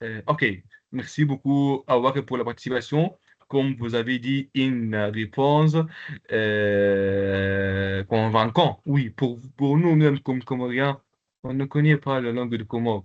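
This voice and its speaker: In an Arabic accent, a man talks very slowly at a medium pitch. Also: ordinary pitch variation. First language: Arabic (speaking French). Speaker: Arabic language teacher. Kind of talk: online lecture with participant Q&A. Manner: halting, many hesitations.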